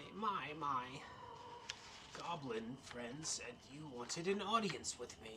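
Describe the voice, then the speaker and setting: Using a put-on character voice at a fairly high pitch, a man speaks at a fairly slow pace with long, frequent pauses over clear background noise. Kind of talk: little old witch voice. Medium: actual play.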